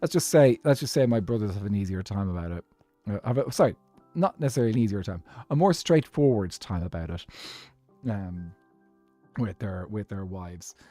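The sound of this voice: Strong Irish accent with long, frequent pauses, dry and close with no echo, over music in the background. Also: man, fairly low pitch for a man, lively intonation, fairly quick pace. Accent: thick Irish.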